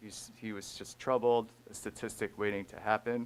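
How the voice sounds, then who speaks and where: A man with a non-native accent, fairly low in pitch, at a moderate pace in a monotone, flat intonation. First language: not English. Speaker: school resource officer. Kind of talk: public comment at a board meeting. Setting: school board meeting.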